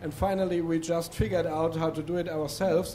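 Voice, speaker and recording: Music plays in the background of this recording, which has audible room echo. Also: man. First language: not English. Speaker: demoscene coder, audience member. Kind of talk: audience discussion at a seminar. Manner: halting, many fillers.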